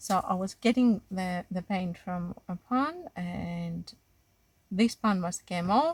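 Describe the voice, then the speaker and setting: A woman speaks at a medium pitch with a strong Greek accent and ordinary pitch variation. Her voice is somewhat breathy, recorded with a dry, close sound and no echo. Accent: Greek accent, still strong. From Greece. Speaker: watercolor art teacher. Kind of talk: tutorial. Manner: halting, many fillers and restarts.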